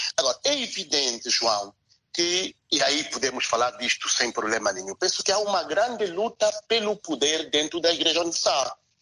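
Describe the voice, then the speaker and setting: Here a man speaks at a moderate pace in a high pitch. His voice moves through very wide pitch swings. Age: 40s. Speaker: theologian and philosopher. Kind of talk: radio interview.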